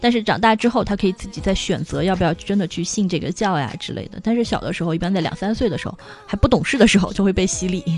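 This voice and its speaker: A woman talks at a very fast pace with hardly any pauses, music playing in the background. Her pitch is medium, with ordinary variation. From China. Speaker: online retail buyer living in France. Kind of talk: casual interview.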